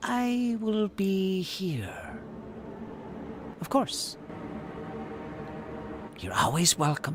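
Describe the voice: A man's put-on character voice, high-pitched and fairly bright, with big pitch swings, a very slow pace and long, frequent pauses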